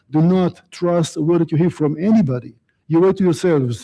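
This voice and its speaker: A man's high-pitched voice with a dark, mellow tone and ordinary pitch variation, very fast, over a quiet background. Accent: Israeli. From Israel. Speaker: guest speaker on the Middle East. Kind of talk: lecture.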